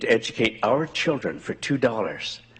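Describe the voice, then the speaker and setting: A man's voice with noticeable background noise. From rural southwestern Ontario, Canada. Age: 80s+. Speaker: community member speaking at a school board meeting. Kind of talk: public address at a meeting. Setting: school board meeting with audience. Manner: earnest, with some halting repetitions.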